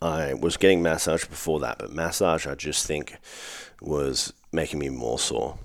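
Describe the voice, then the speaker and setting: With an Australian accent, a man speaks at a moderate pace in a very deep, low pitch with vocal fry and fairly even intonation. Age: 30s. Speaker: fitness coach. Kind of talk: solo podcast monologue. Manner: casual, profane.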